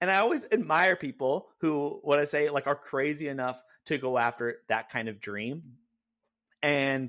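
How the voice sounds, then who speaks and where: Over a very clean recording with a silent background, a man with a General American accent speaks at a moderate pace, with lively intonation and an unremarkable speaking voice. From California. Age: 30s. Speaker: content creator. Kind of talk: casual chat.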